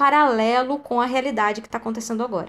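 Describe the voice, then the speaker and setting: A woman speaks in a high voice. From Brazil, countryside. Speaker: podcast host. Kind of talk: casual chat.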